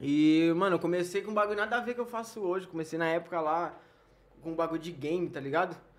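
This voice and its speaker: A man with a high voice talks very fast, with ordinary pitch variation and noticeable background noise. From Porto Alegre, southern Brazil. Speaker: YouTuber. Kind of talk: casual interview chat.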